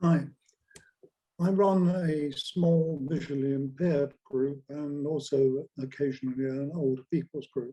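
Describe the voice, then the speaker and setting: With a dark, mellow tone, a man talks at a fairly slow pace, his pitch fairly high and his intonation fairly even. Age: 80s+. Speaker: community group organiser. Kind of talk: question at Q&A. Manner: halting.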